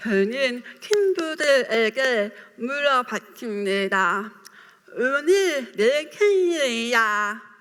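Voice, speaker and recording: Her pitch is high and swings very widely. The woman speaks at a very slow pace. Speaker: writer, deaf speaker. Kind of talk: public talk.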